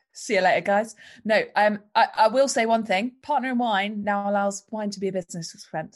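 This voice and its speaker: Somewhat breathy and with big swings in loudness, a woman of medium pitch speaks with a London accent over a quiet background. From London, England. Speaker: entrepreneur. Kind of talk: podcast interview.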